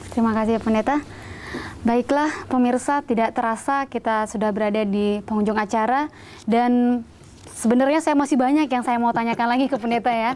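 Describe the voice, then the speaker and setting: Speaking at a fairly quick pace, a woman uses a high pitch, fairly even intonation and very even loudness. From Brastagi, North Sumatra, Indonesia; North Sumatra, Indonesia. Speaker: TV Bible study host. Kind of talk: religious TV discussion interview. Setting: studio. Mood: warm, friendly, smiling. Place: studio. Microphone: lapel.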